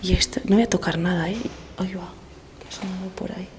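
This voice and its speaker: Here a woman speaks at a fairly quick pace. Her intonation stays monotone and flat. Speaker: travel vlogger. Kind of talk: on-location vlog. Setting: abandoned hotel corridor at night. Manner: whispering; soft-spoken.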